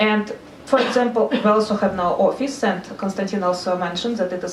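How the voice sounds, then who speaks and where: A woman with a Russian accent talks at a fairly quick pace with ordinary pitch variation. Audible room echo and noticeable background noise surround her. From Russia, Saint Petersburg. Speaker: NGO consultant. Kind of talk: seminar talk. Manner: halting.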